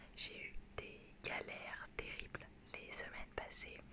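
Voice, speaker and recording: A woman is whispering. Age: 20s. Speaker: ASMR creator. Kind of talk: ASMR talk to camera. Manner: whispered.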